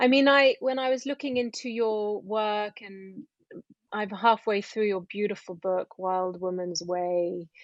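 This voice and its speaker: A woman with an unremarkable speaking voice speaks at medium pitch and a fairly slow pace with ordinary pitch variation, the sound dry and close with no echo over a quiet background. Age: 40s. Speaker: podcast host. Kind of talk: interview.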